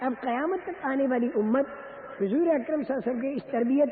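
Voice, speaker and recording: With noticeable background noise behind him, a man speaks at an extremely high pitch with ordinary pitch variation. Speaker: Islamic preacher. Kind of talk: religious sermon.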